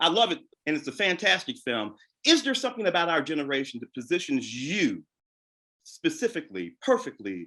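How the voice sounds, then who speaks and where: This man has a bright, sharp tone and a high pitch with very wide pitch swings. He talks at a moderate pace in an American accent. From St. Louis, US Midwest. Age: 60s. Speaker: moderator, film critic. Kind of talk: Q&A panel conversation.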